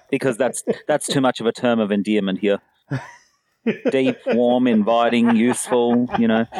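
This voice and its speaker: The speaker goes at a moderate pace in an Australian accent, leaving long, frequent pauses. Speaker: podcast co-host. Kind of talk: casual chat.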